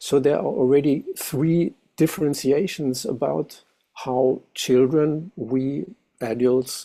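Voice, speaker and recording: A man with a German accent, medium-pitched, with a dark, mellow tone, ordinary pitch variation, and a fairly slow pace. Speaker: music educator, meeting participant. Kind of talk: discussion comment.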